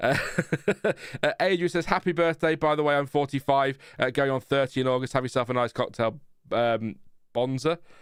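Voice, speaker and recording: In a very clean recording with a silent background, a man with an ordinary speaking voice talks fairly quickly at a medium pitch, with ordinary pitch variation. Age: 40s. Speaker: motorsport YouTuber. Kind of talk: live stream commentary. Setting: live stream.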